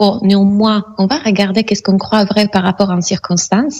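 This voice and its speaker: A woman talks in an Italian accent at medium pitch and a moderate pace. Noticeable background noise runs behind her. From Italy. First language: Italian (speaking French). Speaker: mindset coach and hypnotherapist. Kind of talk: radio interview. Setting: Skype call.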